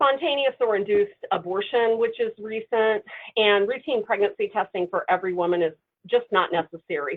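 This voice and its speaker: A woman talks at a fairly quick pace with a fairly high pitch and ordinary pitch variation. Her loudness stays very even. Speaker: clinical trainer. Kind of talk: webinar lecture. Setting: webinar. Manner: fast.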